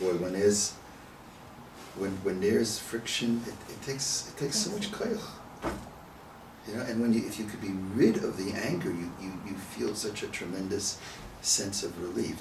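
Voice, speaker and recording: There is noticeable background noise and audible room echo as a man speaks at a moderate pace in a fairly low voice. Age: 70s. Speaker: rabbi teaching a text study class. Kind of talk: text study discussion. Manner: conversational, repeats words.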